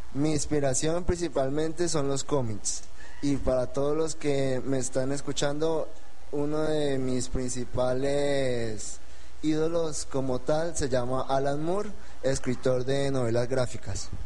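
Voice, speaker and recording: A man's fairly high voice at a very slow pace, with fairly even intonation, very even loudness and noticeable background noise. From Colombia, Espinal, Tolima. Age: 20s. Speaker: novelist. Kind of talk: radio interview.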